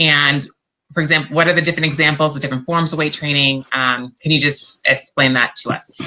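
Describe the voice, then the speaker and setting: A loud woman speaks with a very deep, low pitch, a bright, sharp tone and monotone, flat intonation. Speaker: interviewer. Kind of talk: interview.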